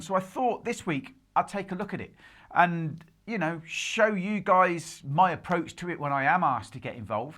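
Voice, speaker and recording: The speaker has a British accent and talks at a moderate pace. The recording is very clean, with a silent background. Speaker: drum tutorial youtuber. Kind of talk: tutorial. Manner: casual, chatty.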